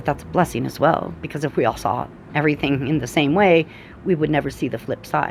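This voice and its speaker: A woman talks at a very fast pace with a very deep, low pitch. Her pitch variation is ordinary, and music plays behind her. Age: 40s. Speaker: energy and oracle reader. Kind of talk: casual spiritual talk to camera.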